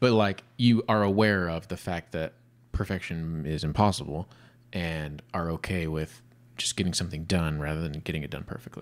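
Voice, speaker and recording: A man's very deep, low-pitched voice at a moderate pace. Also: ordinary pitch variation. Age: 30s. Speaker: podcast co-host. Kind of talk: casual chat. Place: studio. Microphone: studio mic.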